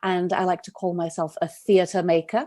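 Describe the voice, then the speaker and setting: In a Welsh accent, a woman speaks with a dark, mellow tone at a fairly low pitch, on a very clean recording with a silent background. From Wales, Cardiff. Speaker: playwright and director. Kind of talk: podcast interview.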